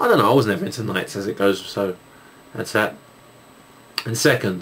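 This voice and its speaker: A man speaks with a Cockney accent. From England, East London. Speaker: YouTuber, gamer and music producer. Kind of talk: video Q&A, casual chat. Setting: recording at home at night with night shot camera. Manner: halting, many fillers.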